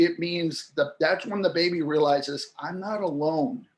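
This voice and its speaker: Speaking at a fairly slow pace, this man has an ordinary speaking voice with a fairly high pitch and ordinary pitch variation. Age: 60s. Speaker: linguistics expert, interview guest. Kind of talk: interview explanation.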